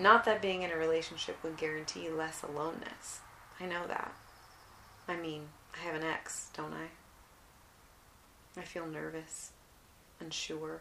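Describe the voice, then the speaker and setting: Amid noticeable background noise and audible room echo, a woman talks at a fairly slow pace in a fairly low pitch with fairly even intonation. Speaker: artist and memoir podcaster. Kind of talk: casual monologue and memoir reading. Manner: relaxed, unhurried.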